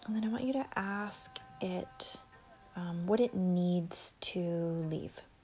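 The voice has a soothing, gentle tone at a very slow pace. Music plays in the background. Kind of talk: guided meditation. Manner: slow, soothing and unhurried, with long pauses; soft, gentle and conversational, with filler words like 'um' and 'you know'.

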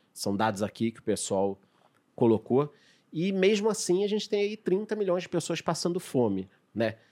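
In a very clean recording with a silent background, a man with a high pitch speaks at a moderate pace with very wide pitch swings. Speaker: podcast host. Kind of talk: casual chat. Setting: studio.

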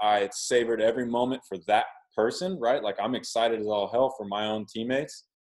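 Here a man speaks at medium pitch and a moderate pace with an American accent. His is an unremarkable speaking voice. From Oklahoma. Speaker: professional baseball pitcher. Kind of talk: casual interview.

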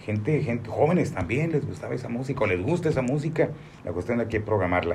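Amid audible room echo, a man speaks at medium pitch in a somewhat breathy voice with lively intonation. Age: 60s. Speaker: radio announcer. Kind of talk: interview.

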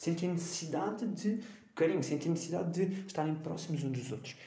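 A man with a European Portuguese accent, high-pitched with a dark, mellow tone, at a fairly quick pace amid audible room echo. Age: 20s. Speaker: podcast host, university student. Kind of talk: solo educational podcast monologue. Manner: hesitant, with fillers.

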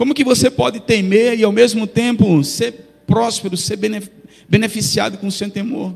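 A man speaks in a high pitch at a moderate pace. His pitch varies in an ordinary way. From Brazil, not Bahia. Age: 40s. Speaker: pastor. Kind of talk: sermon. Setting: church.

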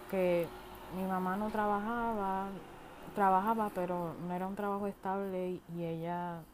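In a Puerto Rican accent, a woman speaks at a fairly slow pace with monotone, flat intonation and audible room echo. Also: medium pitch for a woman. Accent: Puerto Rican Spanish, mistaken for Irish. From Puerto Rico. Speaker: podcast host. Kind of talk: casual monologue.

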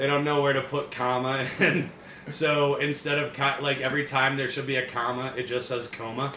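A man's fairly high, monotone voice with flat intonation at a fairly quick pace, over noticeable background noise. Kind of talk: stand-up comedy.

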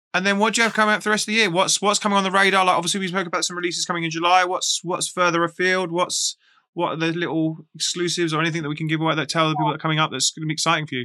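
Against a quiet background, a man with an English accent speaks very fast with hardly any pauses, a high pitch, a bright, sharp tone and fairly even intonation. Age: 40s. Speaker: podcast host. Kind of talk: casual interview. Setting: live stream.

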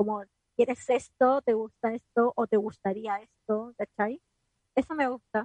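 Here a woman speaks with a fairly high pitch and fairly even intonation at a fairly slow pace. The sound is dry and close with no echo. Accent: Chilean. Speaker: radio podcast co-host. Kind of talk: casual chat. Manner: talkative.

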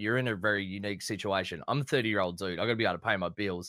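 A man talks at a very fast pace with a bright, sharp tone. The recording is very clean, with a silent background. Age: 30s. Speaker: gaming streamer. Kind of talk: casual panel Q&A. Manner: deadpan.

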